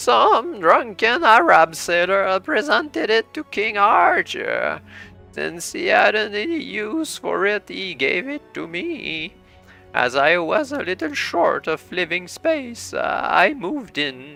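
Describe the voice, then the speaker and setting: Over faint background music, a man puts on a high-pitched character voice at a fairly slow pace. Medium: read story. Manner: rambling, chatty.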